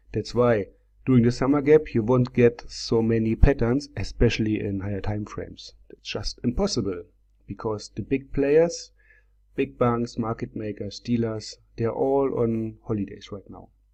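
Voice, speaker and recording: A man with a non-native accent speaks at medium pitch and a moderate pace in a dark, mellow tone, his loudness swinging widely while his pitch variation stays ordinary, over a quiet background. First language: not English. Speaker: trading software seller and tutor. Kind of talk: screen-share tutorial. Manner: hesitant, many fillers.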